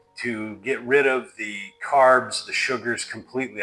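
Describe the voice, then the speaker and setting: A man's voice with music in the background. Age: 60s. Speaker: retirement lifestyle channel co-host. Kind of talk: casual chat. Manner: casual, hesitant with fillers.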